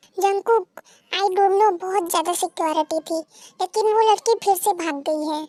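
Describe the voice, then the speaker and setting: Putting on a character voice, a woman speaks at a moderate pace with an extremely high pitch and fairly even intonation, in a dry, close sound with no echo. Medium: fan dub. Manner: bossy.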